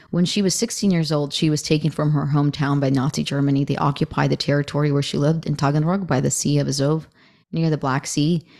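A woman speaks very fast in a very deep, low voice, her loudness very even, on a very clean recording with a silent background. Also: fairly even intonation. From Russia and Ukraine, moved to the US as a child. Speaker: entrepreneur and podcast host. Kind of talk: interview.

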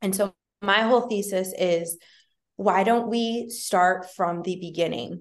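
Speaking with an American accent, the voice moves at a fairly slow pace with ordinary pitch variation. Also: woman, medium pitch for a woman. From US Midwest, rural Illinois. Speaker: health company founder. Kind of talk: interview.

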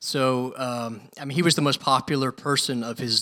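Recorded with a dry, close sound and no echo, a man speaks at a moderate pace with a medium pitch. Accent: American. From US South, Louisville, Kentucky. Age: 30s. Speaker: professor of historical theology. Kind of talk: interview. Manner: animated.

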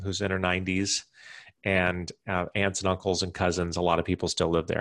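Over a quiet background, a man with an unremarkable speaking voice and a fairly low pitch talks at a fairly quick pace. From US Mountain West / Midwest (Wyoming, Iowa). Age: 40s. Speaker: entrepreneur and real estate businessman. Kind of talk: interview. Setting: home office.

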